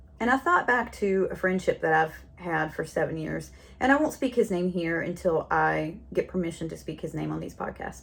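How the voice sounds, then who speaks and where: The speaker has a Southern US accent and keeps a moderate pace. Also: woman. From North Carolina. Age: 40s. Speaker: podcast host. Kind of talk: casual monologue. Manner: chatty, rambling.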